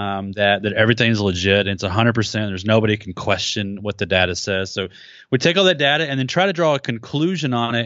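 In an ordinary speaking voice, a man talks at a fairly quick pace, his pitch fairly low and his intonation lively. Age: 40s. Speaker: social media marketing researcher. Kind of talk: interview. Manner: casual.

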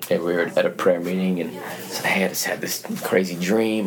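A man with a very deep, low pitch and an American accent talks at a fairly quick pace, with noticeable background noise and audible room echo. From Utah, US. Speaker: youth pastor. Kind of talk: casual interview. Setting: church.

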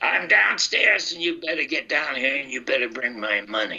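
Speaking at a moderate pace, a man adopts a put-on character voice. His pitch sits in the medium range. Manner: menacing.

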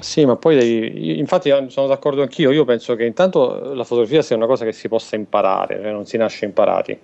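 A man's medium-pitched, very fast delivery with lively intonation and hardly any pauses, over noticeable background noise. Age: 30s. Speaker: photographer. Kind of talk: casual chat.

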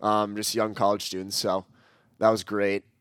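A man with an Upper Midwest accent speaks at a fairly quick pace and a fairly low pitch. His intonation is monotone and flat in a very clean recording with a silent background. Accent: Upper Midwest American. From Minnesota (Edina, Twin Cities). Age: 20s. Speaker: college soccer player. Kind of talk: interview.

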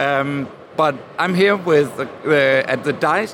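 With a Danish accent, a man speaks at a fairly high pitch with ordinary pitch variation, amid noticeable background noise and audible room echo. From Denmark. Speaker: podcast producer and interviewer. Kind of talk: trade fair interview. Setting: busy convention hall.

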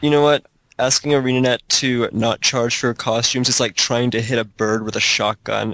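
Using an ordinary speaking voice, a man talks at a moderate pace and medium pitch with fairly even intonation. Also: dry, close sound with no echo. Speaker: gaming blogger. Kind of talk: casual chat.

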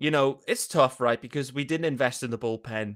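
Speech comes at a fairly quick pace with an American accent. The recording is very clean, with a silent background. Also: man. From United Kingdom. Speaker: sports podcaster. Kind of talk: casual sports talk interview.

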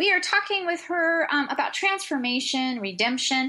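A woman's raised, projected voice, high-pitched and bright and sharp in tone, with very wide pitch swings. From American. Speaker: radio show co-host.

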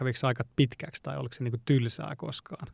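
The man's medium-pitched voice stays monotone and flat, recorded dry and close with no echo. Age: young. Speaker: podcast host. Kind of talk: casual interview.

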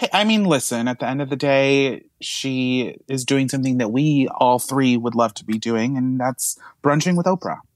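A man uses an ordinary speaking voice at medium pitch. He keeps ordinary pitch variation and a moderate pace. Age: young. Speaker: guest co-host. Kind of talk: casual chat. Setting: recording from a closet.

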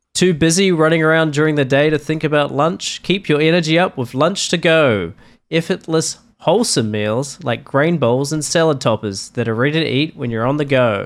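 Moderate pace and ordinary pitch variation from a man with a fairly high pitch, a plain, everyday voice, on a very clean recording with a silent background. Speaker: podcast co-host. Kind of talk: casual chat.

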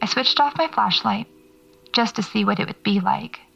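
Noticeable background noise behind a woman's medium-pitched voice at a moderate pace. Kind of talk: horror fiction narration, first-person audio-diary monologue. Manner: hushed, uneasy, halting, with sighs and pauses, dread building.

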